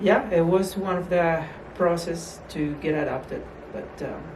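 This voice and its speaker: There is noticeable background noise. The speaker has a Colombian accent. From Colombia, Bogota. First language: Spanish. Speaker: small business owner, immigrant parent. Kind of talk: interview. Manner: halting.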